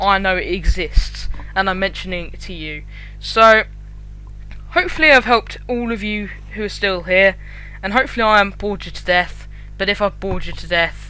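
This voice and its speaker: A woman talks at a fairly quick pace, with long, frequent pauses and big swings in loudness. Music plays in the background. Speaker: programming tutorial YouTuber. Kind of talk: tutorial. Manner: monotone.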